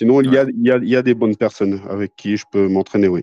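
Talking at a fairly quick pace, a man shows ordinary pitch variation in a dry, close sound with no echo. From northern France (Béthune area), later Toulouse. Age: 40s. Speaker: professional MMA fighter and gym owner. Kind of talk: casual interview.

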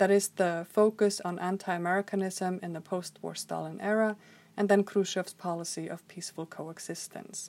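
In an Icelandic accent, a woman speaks at a moderate pace with a medium pitch and monotone, flat intonation. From Iceland, Reykjavik. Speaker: historian and author. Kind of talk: scripted narration. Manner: formal.

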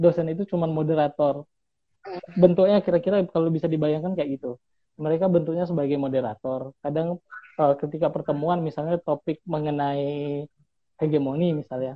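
A man talks at a fairly quick pace in an ordinary speaking voice with fairly even intonation. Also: fairly high pitch for a man. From Bengkulu, Indonesia. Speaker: PhD student. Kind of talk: casual interview. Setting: remote call.

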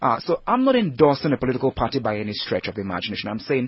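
A man speaks at medium pitch. His voice is somewhat breathy. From Nigeria. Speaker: head of recruitment at a leadership school. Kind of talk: radio interview.

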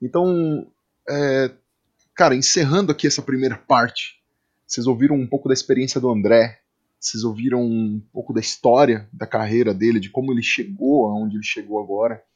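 A man speaks at a moderate pace in a plain, everyday voice. His pitch is medium, with ordinary variation. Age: 30s. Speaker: podcast host, drummer and music educator. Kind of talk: casual interview chat. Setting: studio.

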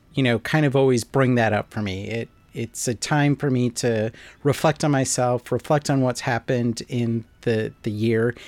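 Captured on a very clean recording with a silent background and a dry, close sound with no echo, a man with a normal speaking voice talks at a fairly slow pace with ordinary pitch variation. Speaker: podcast host. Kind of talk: casual podcast conversation.

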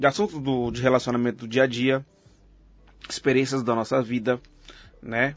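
Pitched in the middle range, a man talks fairly quickly. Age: 30s. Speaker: podcast host. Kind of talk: casual chat.

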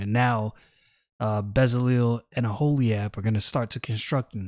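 A man with an American accent speaks at a fairly slow pace in a medium pitch, an unremarkable speaking voice. The recording is very clean, with a silent background. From New York City (Brooklyn). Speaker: Bible teacher podcaster. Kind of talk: casual Bible study talk. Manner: conversational with slang.

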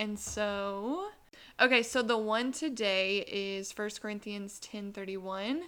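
A woman with a Southern US accent speaks at a medium pitch in a bright, sharp tone, on a very clean recording with a silent background. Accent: Southern American. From US South, Columbia, South Carolina. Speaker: podcast co-host. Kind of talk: casual chat. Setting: studio with two mics. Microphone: new mic.

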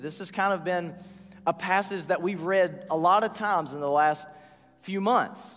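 A man talks in a Southern US accent at a moderate pace. His pitch is high, with ordinary variation. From US South, north Georgia. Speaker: pastor. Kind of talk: sermon.

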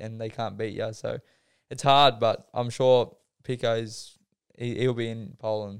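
In an Australian accent, a man with a medium-pitched voice talks fairly slowly and flatly in a monotone, his loudness swinging widely. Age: 20s. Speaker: speedway rider. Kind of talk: casual chat.

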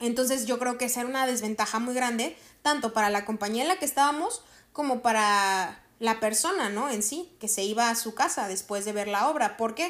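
On a very clean recording with a silent background, a woman with a plain, everyday voice talks at a fairly quick pace, her pitch fairly high and its variation ordinary. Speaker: podcast host, actress and voice actor. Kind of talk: casual solo monologue.

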